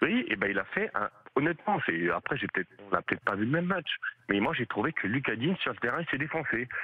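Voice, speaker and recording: Over noticeable background noise, a man talks at a very fast pace. His medium-pitched voice makes very wide pitch swings. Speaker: radio caller, football fan. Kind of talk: call-in opinion.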